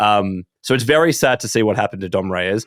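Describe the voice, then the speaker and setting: A man talks in a New Zealand accent with ordinary pitch variation. The sound is dry and close, with no echo. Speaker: podcast host. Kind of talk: casual chat.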